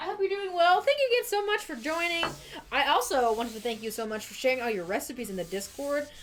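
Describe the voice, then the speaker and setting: Over noticeable background noise, a woman with an American accent talks at a very fast pace, her pitch swinging very widely. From US, Idaho. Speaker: livestream host making cocktails. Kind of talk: casual livestream chat.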